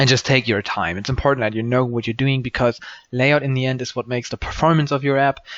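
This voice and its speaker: A man speaks with a strong German accent at a medium pitch. His intonation stays fairly even. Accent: German accent, says it is strong. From Germany. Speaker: programming tutorial maker. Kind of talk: screen-recorded coding tutorial. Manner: hesitant, many ums and false starts; casual, unscripted.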